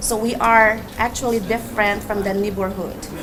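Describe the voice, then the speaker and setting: Speaking at a moderate pace and medium pitch with a Filipino accent, a woman uses fairly even intonation amid audible room echo and noticeable background noise. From Philippines. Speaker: nurse. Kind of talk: personal essay reading.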